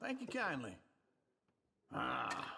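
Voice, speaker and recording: A man puts on a raspy character voice, pitched high. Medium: video game.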